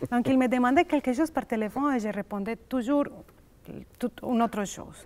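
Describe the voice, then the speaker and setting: Speech comes at a fairly slow pace, its pitch varying in an ordinary way. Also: woman. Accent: Spanish. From Colombia. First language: Spanish (speaking French). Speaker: immigrant psychologist. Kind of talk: casual chat. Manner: halting.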